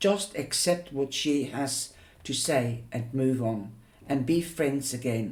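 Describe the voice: Reading aloud, plain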